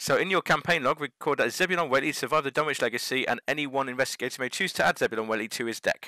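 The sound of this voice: Heard here is an unforced reading voice with ordinary pitch variation.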